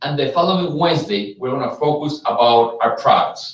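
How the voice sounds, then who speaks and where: Lively intonation and a fairly quick pace, with a Mexican accent. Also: man. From Mexico. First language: Spanish. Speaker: business executive. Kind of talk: live webcast presentation. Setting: live stream from Las Vegas.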